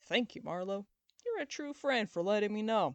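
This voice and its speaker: A loud, put-on character voice from a woman, medium-pitched with lively intonation, at a moderate pace, with a dry, close sound and no echo. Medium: read story. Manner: loud, blunt.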